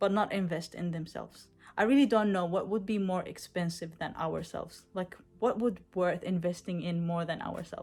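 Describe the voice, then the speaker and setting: With a non-native accent, a woman speaks at a moderate pace and medium pitch, her intonation fairly even. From Israel. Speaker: coaching client, bodybuilder. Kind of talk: testimony. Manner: halting, many fillers.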